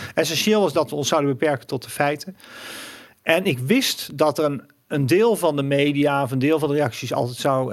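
An ordinary speaking voice at a moderate pace. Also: man. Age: 50s. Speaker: financial commentator and author. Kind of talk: interview.

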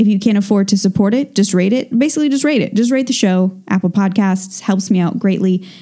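Somewhat breathy and dark, mellow in tone, a woman speaks at a fairly quick pace with ordinary pitch variation on a very clean recording with a silent background. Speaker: true crime podcast host. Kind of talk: casual monologue. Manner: slurring words.

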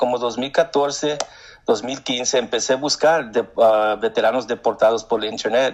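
His pitch sits at medium. The man talks at a very slow pace. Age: 50s. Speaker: war veteran. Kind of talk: interview. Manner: halting.

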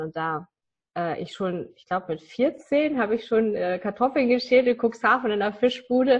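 A woman speaks at a moderate pace with lively intonation. Her voice is somewhat breathy. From northern Germany. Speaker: business coach. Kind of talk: interview.

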